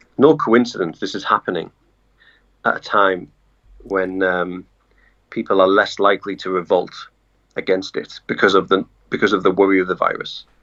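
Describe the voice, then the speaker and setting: A man with a very deep, low voice speaks at a moderate pace with ordinary pitch variation and long, frequent pauses. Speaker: journalist. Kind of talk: casual interview chat. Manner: hesitant, many fillers.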